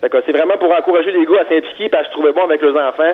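A man speaks with fairly even intonation. Noticeable background noise can be heard behind him. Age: 30s. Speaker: construction worker and dads' group founder. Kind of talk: interview.

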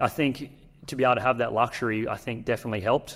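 Someone speaks at a very fast pace with an Australian accent. The recording is very clean, with a silent background. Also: man. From North Queensland, Australia. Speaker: professional basketball player. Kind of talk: interview. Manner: halting.

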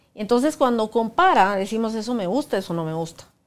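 On a very clean recording with a silent background, a woman with a fairly high pitch speaks very fast, her pitch swinging very widely. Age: 50s. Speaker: workshop facilitator. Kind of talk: casual chat. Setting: studio.

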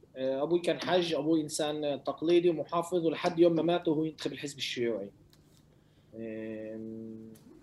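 Speaking at a moderate pace, a man with an unremarkable speaking voice talks in a fairly high pitch with ordinary pitch variation. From Lod, Palestinian citizen of Israel. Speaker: rapper. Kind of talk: interview.

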